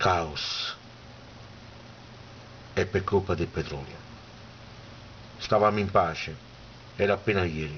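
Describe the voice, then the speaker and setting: A man at a very slow pace, very deep, low pitch and long, frequent pauses. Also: ordinary pitch variation. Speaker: poet. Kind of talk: poetry reading.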